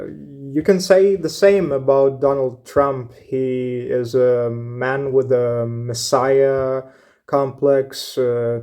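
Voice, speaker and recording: A man's dark, mellow, medium-pitched voice in a Ukrainian accent, very slow, with ordinary pitch variation. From Ukraine. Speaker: YouTube commentator. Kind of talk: opinion monologue. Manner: hesitant, many fillers.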